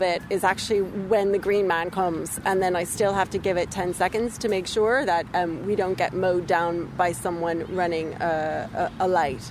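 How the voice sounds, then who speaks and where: An American accent from a woman at a moderate pace, noticeable background noise behind her. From US suburbs. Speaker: parent, environmental sector worker. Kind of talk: interview.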